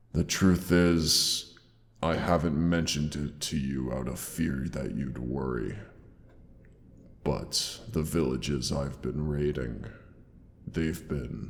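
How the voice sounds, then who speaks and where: A man puts on a character voice with a very deep, low pitch, talking at a fairly slow pace with a clear echo. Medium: audio drama. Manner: theatrical, affectionate, old-fashioned diction.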